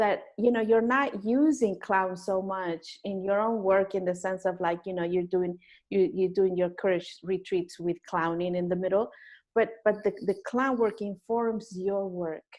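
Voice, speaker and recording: Against a quiet background, a woman with a non-native accent speaks fairly slowly at a medium pitch with fairly even intonation. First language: not English. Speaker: interview show host and clown teacher. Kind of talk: interview conversation. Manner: halting, many repeated words.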